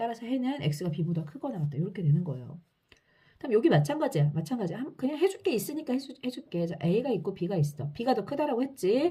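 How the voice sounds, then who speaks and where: A woman's fairly high, somewhat breathy voice, dark and mellow in tone, at a fairly quick pace with very wide pitch swings. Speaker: math teacher. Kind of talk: lecture. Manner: fast.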